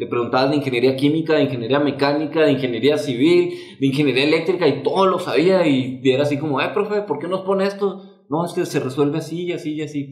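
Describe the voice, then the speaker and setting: A man with a Mexican accent and a fairly high pitch talks very fast with hardly any pauses. His pitch varies in an ordinary way, and there is audible room echo. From Mexico. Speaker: podcast co-host. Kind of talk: casual chat. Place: studio.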